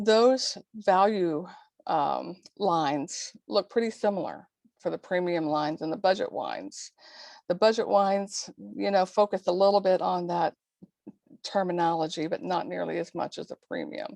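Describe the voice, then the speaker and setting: Woman's medium-pitched voice, a plain, everyday voice with lively intonation at a moderate pace, in a dry, close sound with no echo. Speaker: leadership development coach and consultant. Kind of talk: webinar presentation.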